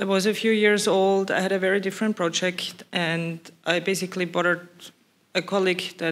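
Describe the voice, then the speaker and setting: This voice carries a non-native accent. It moves along at a moderate speed. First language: not English. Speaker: ERC grant holder, researcher. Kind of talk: panel discussion.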